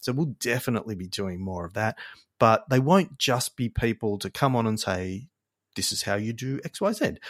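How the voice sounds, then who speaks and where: A man speaks at a medium pitch and moderate pace with lively intonation, the sound dry and close with no echo on a very clean recording with a silent background. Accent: Australian. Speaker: marketing agency podcast host. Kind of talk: casual solo podcast intro.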